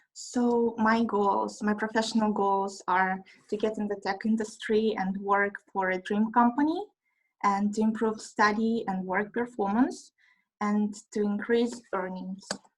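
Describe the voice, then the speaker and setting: With a Russian accent, a woman speaks fairly slowly in a fairly high, somewhat breathy voice on a very clean recording with a silent background. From Russia, Moscow. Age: 20s. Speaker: trainee. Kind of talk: self-introduction presentation. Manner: halting.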